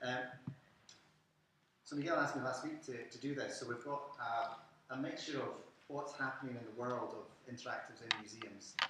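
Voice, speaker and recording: A man with a medium pitch moves at a fairly quick pace yet takes long, frequent pauses, his intonation fairly even amid noticeable background noise and audible room echo. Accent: Scottish. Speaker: museum curator. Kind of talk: lecture.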